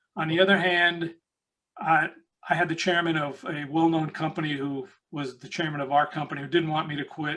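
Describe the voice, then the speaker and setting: A man with an American accent, fairly high pitch and a bright, sharp tone. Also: fairly even intonation. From New York City, the Bronx. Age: 70s. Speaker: recruitment consultant and author. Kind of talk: interview.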